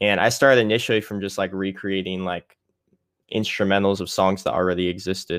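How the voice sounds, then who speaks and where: An ordinary speaking voice from a man with an American accent, fairly low in pitch, at a fairly quick pace with fairly even intonation. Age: 20s. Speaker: music producer. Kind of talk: casual interview chat. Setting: remote call.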